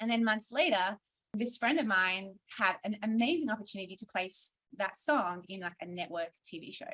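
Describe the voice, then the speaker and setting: Bright and sharp in tone, the voice carries an Australian accent and lively intonation. It moves at a moderate pace with big swings in loudness. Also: woman, medium pitch for a woman. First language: Hungarian. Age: 30s. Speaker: singer-songwriter and music producer. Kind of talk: conference panel interview.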